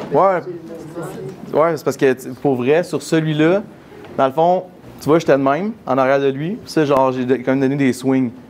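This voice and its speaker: Against noticeable background noise, a man speaks very fast in a fairly high pitch with fairly even intonation. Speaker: miniature photographer giving a talk. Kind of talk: conference Q&A.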